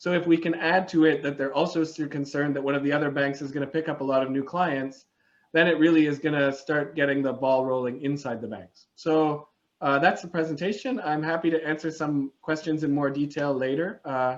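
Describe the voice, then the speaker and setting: Against a quiet background, a man talks at a fairly quick pace. His pitch is fairly high and his intonation fairly even. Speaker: climate campaign presenter. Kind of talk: webinar presentation. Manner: fast.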